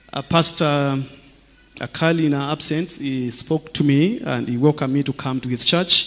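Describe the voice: Speaking at a moderate pace, a man with a fairly high pitch and a fairly bright tone shows ordinary pitch variation.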